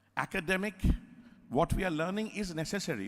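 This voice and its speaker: Speaking in an Indian accent, a man with a high voice and an animated tone moves at a fairly quick pace with lively intonation. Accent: Indian accent, kept unchanged. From India (Calcutta, Bengali). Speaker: theatre director. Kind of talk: lecture. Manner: animated, conversational.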